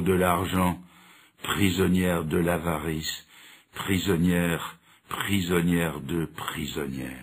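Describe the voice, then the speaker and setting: A man is speaking. His pace is very slow. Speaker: preacher. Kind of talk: sermon.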